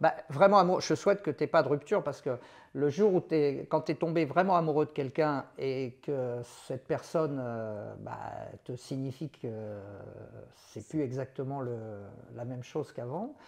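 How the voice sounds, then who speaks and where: A man with a fairly high pitch and ordinary pitch variation speaks at a moderate pace, leaving long, frequent pauses, his loudness swinging widely. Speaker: sports commentator. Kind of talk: casual podcast interview answer, emotional. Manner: conversational, reflective, emotional.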